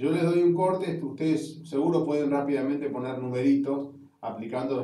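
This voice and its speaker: Audible room echo surrounds a man talking at a fairly quick pace with ordinary pitch variation. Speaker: university geology lecturer. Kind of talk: lecture.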